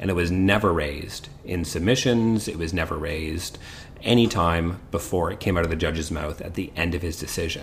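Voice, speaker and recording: A man with a Canadian accent talks at a fairly quick pace in a very deep, low voice over noticeable background noise. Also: ordinary pitch variation. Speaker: criminal defence lawyer, podcast host. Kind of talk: casual legal discussion.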